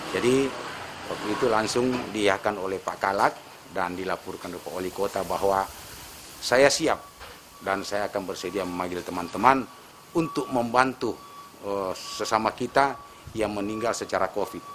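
Through noticeable background noise, a man talks at a moderate pace and fairly low pitch, with ordinary pitch variation and long, frequent pauses. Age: 60s. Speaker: burial volunteer. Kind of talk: interview testimony. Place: garden.

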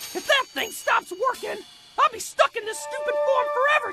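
Someone speaks in a put-on character voice. The pace is moderate. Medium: fan dub. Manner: brash, loud, impatient.

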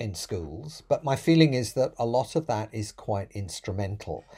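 A man with a British accent talks at a moderate pace. His somewhat breathy voice has a dark, mellow tone and very wide pitch swings. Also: quiet background. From UK. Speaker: professor. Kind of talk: prepared talk to camera. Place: home room.

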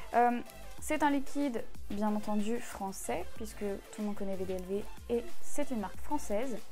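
Faint music plays in the background. Over it, a woman speaks with ordinary pitch variation. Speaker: product reviewer. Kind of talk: casual product review. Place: home room. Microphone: lapel.

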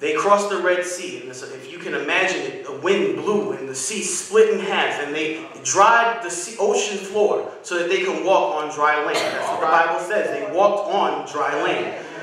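A man with a high voice talks at a moderate pace with ordinary pitch variation and hardly any pauses. Noticeable background noise and strong room echo fill the recording. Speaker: guest preacher. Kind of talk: sermon. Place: church. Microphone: podium.

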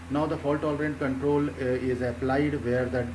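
A man with an Indian accent at a moderate pace, over noticeable background noise. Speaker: doctoral researcher. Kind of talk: conference presentation. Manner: halting. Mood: calm, technical. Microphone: webcam.

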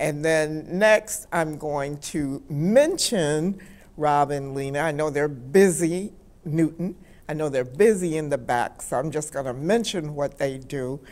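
A woman with an American accent and a very deep, low pitch, at a fairly slow pace with ordinary pitch variation. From Michigan. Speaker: talk show host. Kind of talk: live talk show interview. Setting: studio. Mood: warm, appreciative. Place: studio.

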